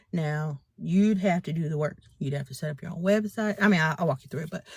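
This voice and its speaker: A woman talks at a very fast clip in an animated tone, her fairly low voice somewhat breathy and her pitch moving in an ordinary way. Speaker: business and faith mentor. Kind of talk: live stream talk.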